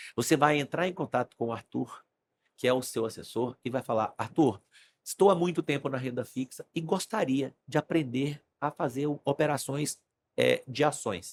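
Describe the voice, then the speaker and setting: A man in an ordinary speaking voice, fairly high-pitched for a man, talks at a moderate pace with ordinary pitch variation in a dry, close sound with no echo. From Brazil, Brasília. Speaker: stock market trader, investment firm client. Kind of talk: podcast interview conversation.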